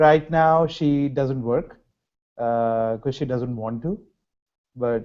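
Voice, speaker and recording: Speaking at a very slow pace in a Telugu accent, with long, frequent pauses and ordinary pitch variation. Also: man, medium pitch for a man. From India, Hyderabad. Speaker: graduate student researcher. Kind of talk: interview.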